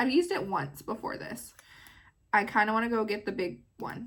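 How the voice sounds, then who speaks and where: The pace is moderate, and the pitch varies in an ordinary way. The recording is very clean, with a silent background. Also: woman. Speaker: beauty vlogger. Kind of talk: casual makeup tutorial. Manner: animated.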